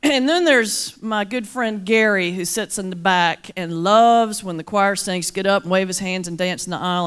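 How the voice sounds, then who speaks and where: A woman with a Southern US accent talks fairly quickly in an animated tone with ordinary pitch variation, on a very clean recording with a silent background. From US South, mountains of North Carolina. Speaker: Baptist minister and motivational speaker. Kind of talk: keynote speech with humor. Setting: luncheon stage with audience.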